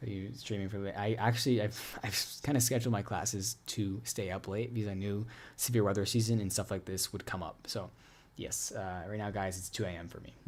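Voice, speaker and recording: Quietly and at a fairly quick pace, a man speaks with an American accent in a very clean recording with a silent background. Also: fairly low pitch for a man, fairly even intonation. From US, Pittsburgh. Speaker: student meteorologist, weather streamer. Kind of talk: live stream Q&A. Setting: home room, live stream at 2 AM. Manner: lowered, quieter voice; normally energized.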